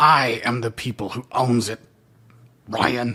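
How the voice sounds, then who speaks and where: Using a put-on character voice, a woman speaks raspily at a fairly slow pace with a very deep, low pitch. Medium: read story. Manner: curt, flat.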